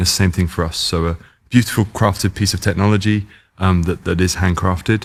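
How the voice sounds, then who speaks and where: A man with a British accent talks at a very fast pace in a very deep, low pitch with fairly even intonation. The recording is very clean, with a silent background. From England. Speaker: sports car company founder. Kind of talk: casual chat. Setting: in California, car unveiling event.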